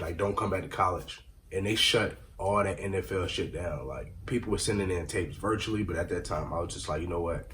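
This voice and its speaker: Somewhat breathy and fairly low in pitch, a man speaks at a fairly quick pace with ordinary pitch variation and audible room echo. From Rockford area, Illinois. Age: 20s. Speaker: aspiring rapper and former college football player. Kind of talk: casual interview. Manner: slurred words.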